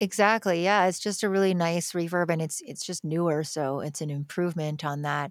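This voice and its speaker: In an ordinary speaking voice, a woman talks at a fairly quick pace with hardly any pauses, her pitch fairly low and its variation ordinary. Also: very clean recording, silent background. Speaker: music producer and educator. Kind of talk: casual interview chat about music production.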